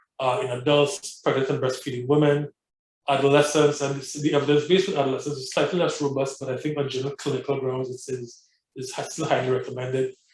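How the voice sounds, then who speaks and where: A man's fairly high, somewhat breathy voice at a very fast pace, with fairly even intonation. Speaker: physician lecturer. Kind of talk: lecture.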